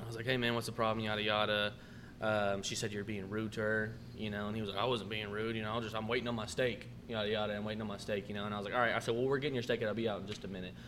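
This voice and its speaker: Amid audible room echo, a man rattles along at a very fast pace in a fairly low pitch with flat, monotone intonation. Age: 20s. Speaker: restaurant manager. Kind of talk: casual chat.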